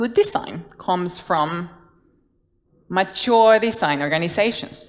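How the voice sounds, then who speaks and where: A woman's voice at a fairly slow pace with ordinary pitch variation. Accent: Guatemalan. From Guatemala. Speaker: design leader. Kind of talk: conference talk. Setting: stage with audience.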